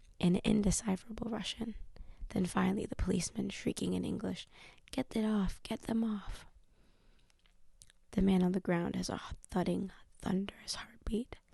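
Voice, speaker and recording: A woman whispers, soft-spoken, at a moderate pace. She leaves long, frequent pauses. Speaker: ASMR channel host, book reader. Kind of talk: ASMR audiobook reading, whispered and soft-spoken. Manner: whispered, soft-spoken.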